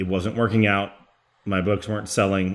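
A man's very deep, low voice in an American accent, monotone and flat, on a very clean recording with a silent background. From Texas, Garland near Dallas. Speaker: comic book writer. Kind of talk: interview.

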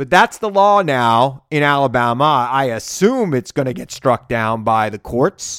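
A man with an American accent, an ordinary speaking voice, fairly high pitch, lively intonation, at a fairly slow pace. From US Northeast, Long Island. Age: 40s. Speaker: political podcast host. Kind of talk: political commentary; interview.

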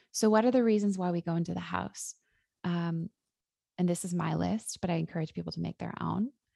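Dry and close with no echo, a woman's voice moves at a fairly quick pace. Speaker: psychologist and author. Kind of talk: interview.

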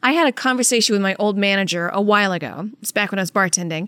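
A woman's ordinary speaking voice, medium-pitched with ordinary pitch variation and an American accent, at a fairly quick pace on a very clean recording with a silent background. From Louisiana, US South. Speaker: podcast co-host. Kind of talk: casual chat, personal storytelling.

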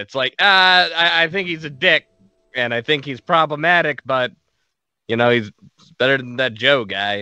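Using a plain, everyday voice, a man speaks at a moderate pace with lively intonation. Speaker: podcast guest. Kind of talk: casual chat. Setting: video call.

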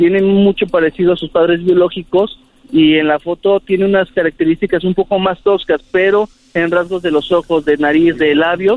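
Over music in the background, a man with a Mexican accent speaks at a moderate pace in a high pitch. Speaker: TV reporter. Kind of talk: interview. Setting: phone call.

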